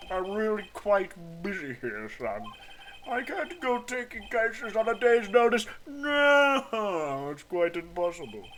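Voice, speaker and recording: A man puts on a pompous character voice, high-pitched with very wide pitch swings. He speaks fairly slowly over clear background noise. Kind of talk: comic overacting. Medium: game stream. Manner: pompous, patronizing.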